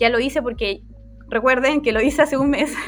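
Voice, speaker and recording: A woman talks at a fairly quick pace in a Chilean accent. Her intonation stays fairly even. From Chile, Chiloé. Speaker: UX designer. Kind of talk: casual chat.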